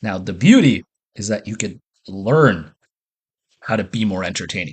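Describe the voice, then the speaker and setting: An enthusiastic, somewhat breathy man with a fairly low pitch, at a moderate pace, in a dry, close sound with no echo. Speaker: business and social coach. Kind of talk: casual monologue. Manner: chewing while talking.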